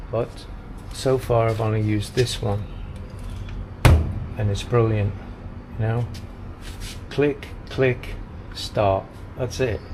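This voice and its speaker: Over noticeable background noise, a man with an English accent speaks very slowly in a flat monotone, leaving long, frequent pauses. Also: medium pitch for a man. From Britain. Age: 60s. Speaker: vlogger. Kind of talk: casual vlog narration. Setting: outdoors walking. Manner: chatty.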